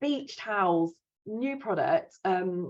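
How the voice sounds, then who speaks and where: An English accent colors this woman's speech. She uses lively intonation. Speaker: promotional products supplier. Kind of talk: business presentation. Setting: video call. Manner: fast.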